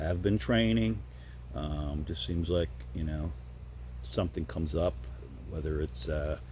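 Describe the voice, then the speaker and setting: A man's very deep, dark, mellow voice with vocal fry, lively intonation and a moderate pace. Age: 60s. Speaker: YouTuber and masters powerlifter. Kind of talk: casual vlog monologue. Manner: conversational with many fillers.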